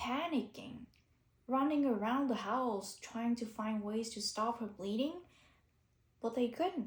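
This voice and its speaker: A woman's fairly high voice with ordinary pitch variation, at a fairly slow pace. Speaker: YouTuber. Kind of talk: unscripted monologue. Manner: halting.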